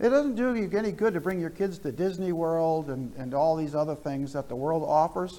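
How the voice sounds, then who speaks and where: In an American accent, a man with a high pitch speaks with ordinary pitch variation amid audible room echo. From US Northeast, New Jersey. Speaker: pastor. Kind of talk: sermon.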